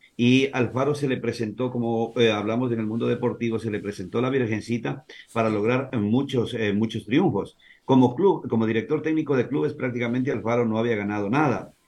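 Pitched at a medium level with ordinary variation, the man's voice comes through. He talks at a fairly quick pace. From Ecuador, Santo Domingo de los Tsáchilas (born in Azuay). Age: 50s. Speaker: sports journalist. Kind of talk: casual chat.

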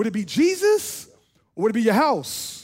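A man speaks at a moderate pace in an extremely high pitch with an animated tone. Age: 30s. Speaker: pastor. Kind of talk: sermon.

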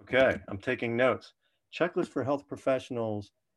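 Against a quiet background, a normal speaking voice moves at a fairly quick pace with ordinary pitch variation. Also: man. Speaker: physician podcast host. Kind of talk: podcast interview.

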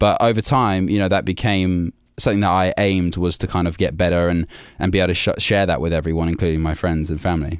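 In an English Midlands accent, a man speaks at a very fast pace with a very deep, low pitch and very even loudness, on a very clean recording with a silent background. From England, Warwickshire. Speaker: singer-songwriter. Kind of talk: interview. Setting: studio.

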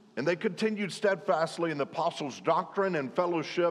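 A man with a Southern US accent speaks at a high pitch. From Arkansas, US South. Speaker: preacher. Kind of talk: sermon.

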